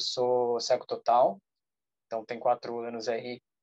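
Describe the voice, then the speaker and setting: A man speaks with an ordinary speaking voice. His pace is fairly slow. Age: 20s. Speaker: social entrepreneur. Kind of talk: self-introduction in online meeting.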